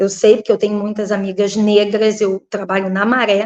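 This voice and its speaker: Her voice, an unremarkable speaking voice, sits fairly high in pitch, and the woman keeps a moderate pace. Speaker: local political candidate and teacher. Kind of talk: interview.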